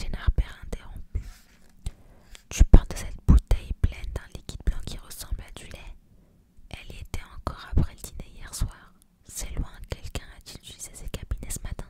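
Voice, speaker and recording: A woman whispers at a moderate pace with long, frequent pauses and big swings in loudness. Noticeable background noise can be heard. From France. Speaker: ASMR creator. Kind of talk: audiobook-style reading of a detective novel. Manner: hard whispers, ASMR.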